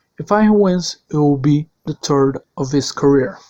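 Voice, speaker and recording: Speaking very slowly in a Portuguese accent, a man uses lively intonation and a dark, mellow tone. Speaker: sim racing league commentator. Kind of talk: video presentation.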